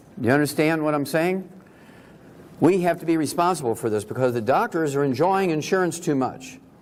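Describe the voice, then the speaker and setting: A man talks at a fairly quick pace and fairly high pitch with lively intonation. Audible room echo surrounds his voice. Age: 70s. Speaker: naturopathic doctor and health speaker. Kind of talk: lecture.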